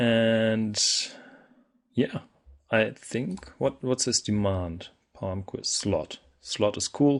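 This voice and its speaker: In a non-native accent, a man speaks at a very slow pace with long, frequent pauses. The background is quiet. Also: medium pitch for a man, ordinary pitch variation. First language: not English. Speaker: gaming video creator. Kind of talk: gameplay commentary. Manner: casual, with frequent fillers and self-corrections.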